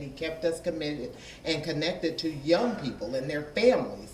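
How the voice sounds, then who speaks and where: Audible room echo and noticeable background noise accompany speech at a fairly quick pace. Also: man. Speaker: business owner and education commissioner. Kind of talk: public question at a town meeting. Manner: loud. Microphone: holds mic far away.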